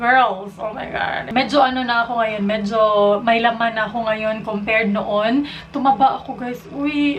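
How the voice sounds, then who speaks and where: Noticeable background noise accompanies speech delivered at a moderate pace with fairly even intonation. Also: woman. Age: 20s. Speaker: beauty vlogger. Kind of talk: casual vlog talk.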